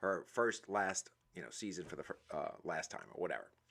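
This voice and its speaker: A man with a New Orleans accent, bright and sharp in tone, at a moderate pace with ordinary pitch variation. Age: 40s. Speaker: motivational speaker. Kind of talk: live stream monologue. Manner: hesitant, many fillers; casual.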